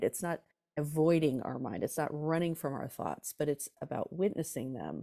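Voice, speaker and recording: A woman's very deep, low voice with a dark, mellow tone and ordinary pitch variation, on a very clean recording with a silent background. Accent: American. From Southern California, Orange County. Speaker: rock drummer and author. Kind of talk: casual interview.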